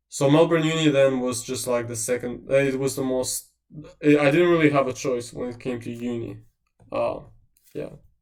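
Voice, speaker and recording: Amid audible room echo, a man speaks at a moderate pace with fairly even intonation and big swings in loudness. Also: medium pitch for a man. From Eastern Europe. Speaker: university tutor/presenter. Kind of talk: lecture Q&A. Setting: livestream. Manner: casual.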